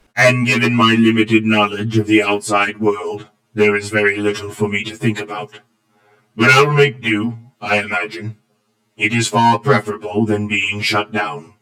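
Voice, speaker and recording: At a moderate speed, the speaker performs in a put-on character voice. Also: man, fairly low pitch for a man. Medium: read story. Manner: formal, precise, polite.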